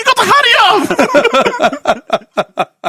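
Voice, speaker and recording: In a put-on character voice with a strong non-native accent, the speaker's extremely high pitch makes very wide swings. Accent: thick foreign. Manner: urgent, insistent.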